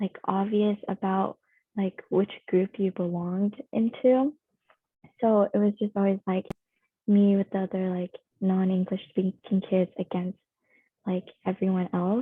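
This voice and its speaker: A woman speaks at a fairly slow pace with long, frequent pauses. Her medium-pitched voice is monotone and flat. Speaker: panelist. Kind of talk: panel discussion.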